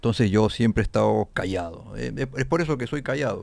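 Lively intonation marks this man's fairly low-pitched voice, which has vocal fry. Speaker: rock musician. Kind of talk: casual chat. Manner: halting.

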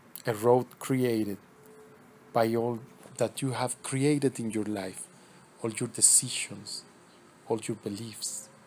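In a soothing tone, a man speaks very slowly, keeping his intonation fairly even and leaving long, frequent pauses. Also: medium pitch for a man. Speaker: spiritual teacher leading meditations. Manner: slow, soothing, hushed delivery with long pauses between instructions; incantatory, circling back to repeated words like path, heart and horizon.

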